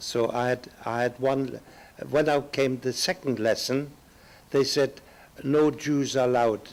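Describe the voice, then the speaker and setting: In a German accent, a man speaks at a medium pitch and a fairly slow pace. His intonation is monotone and flat. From Germany (Upper Silesia), later England. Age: 80s+. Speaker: Holocaust survivor, Kindertransport refugee. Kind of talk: oral history testimony. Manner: halting, with many fillers.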